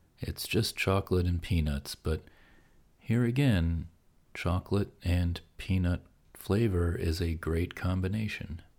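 A man with an American accent, very deep and low in pitch, at a fairly slow pace with ordinary pitch variation, in a very clean recording with a silent background. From Pennsylvania, US. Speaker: podcast host. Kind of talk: sleep podcast monologue.

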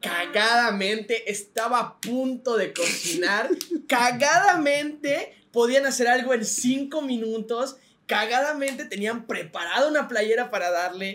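With a Mexican accent, a man talks at an extremely high pitch. His pace is fairly slow and his pitch variation ordinary. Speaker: podcast co-host. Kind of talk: casual chat.

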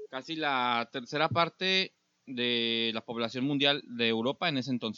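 The speaker has an ordinary speaking voice and ordinary pitch variation. The pace is fairly slow. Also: man, medium pitch for a man. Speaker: podcast host. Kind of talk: casual chat.

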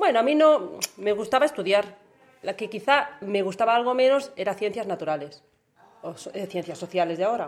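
A woman talks in a normal speaking voice at a medium pitch. Her intonation is lively, and her pace is fairly quick. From Catalonia, Spain. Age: 40s. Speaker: parent interviewed by child. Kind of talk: interview.

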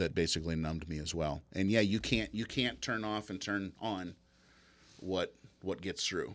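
Very deep, low male voice with an American accent, ordinary pitch variation and a moderate pace, on a very clean recording with a silent background. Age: 50s. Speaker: business owner. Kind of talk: interview. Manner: halting.

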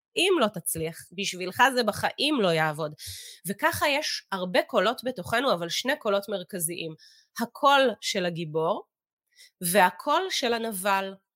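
The speaker is a woman, going at a fairly slow pace. Her pitch swings very widely. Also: medium pitch for a woman. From Israel, kibbutz in the south. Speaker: meditation teacher and business executive. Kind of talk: interview with guided teaching on meditation.

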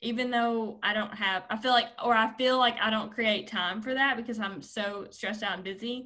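In a Southern US accent, a woman talks with hardly any pauses at a fairly high pitch. Her tone is bright and sharp. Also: fairly even intonation, moderate pace. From southern Arkansas. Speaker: career and life coach. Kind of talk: casual interview.

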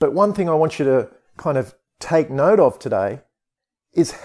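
The delivery is an ordinary speaking voice, kept at a moderate pace. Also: man. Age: 40s. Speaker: podcast host and stepdad. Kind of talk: solo podcast monologue with advice.

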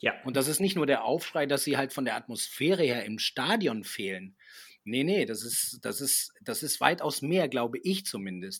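Here a man talks at a fairly high pitch with very wide pitch swings, on a very clean recording with a silent background. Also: moderate pace. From Argentina, German-speaking family. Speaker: TV reporter and presenter. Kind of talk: casual chat.

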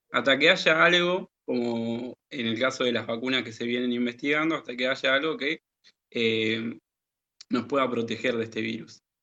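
At a moderate pace, a man talks in an ordinary speaking voice with medium pitch and ordinary pitch variation. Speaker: teacher and radio co-host. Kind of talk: educational radio chat.

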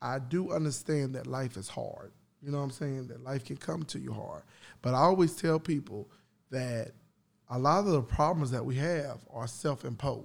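Moderate pace, ordinary pitch variation and long, frequent pauses in a very clean recording with a silent background. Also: man. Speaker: podcast host. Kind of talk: casual chat. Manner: animated.

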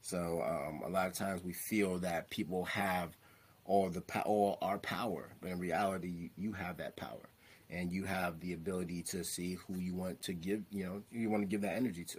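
With an American accent, a man speaks at a moderate pace. His pitch is very deep and low, and the recording is very clean with a silent background. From New York, Staten Island. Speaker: licensed therapist and mental health speaker. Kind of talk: casual interview chat.

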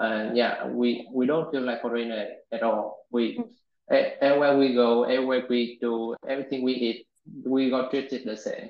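A man speaks with a Vietnamese accent. His pace is moderate. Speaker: software engineer. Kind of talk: interview. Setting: video call. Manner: halting.

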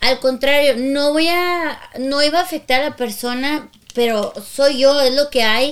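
A woman's high-pitched voice at a fairly slow pace. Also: fairly even intonation. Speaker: podcast co-host, singer and voice actor. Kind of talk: casual chat.

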